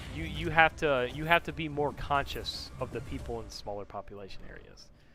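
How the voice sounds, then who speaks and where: Music plays in the background as a man speaks at a fairly quick pace. His loudness swings widely. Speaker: gamer streamer. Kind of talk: casual chat.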